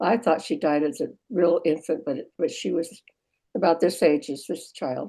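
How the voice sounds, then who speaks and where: Speaking in an American accent, a woman has a fairly low pitch, a dark, mellow tone and ordinary pitch variation. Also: moderate pace. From Western United States. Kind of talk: family history interview answer.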